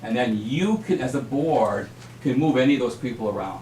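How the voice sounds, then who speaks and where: Medium-pitched male speech amid noticeable background noise and audible room echo. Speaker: superintendent search consultant. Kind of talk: presentation at a school board meeting. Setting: school board meeting. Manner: fast.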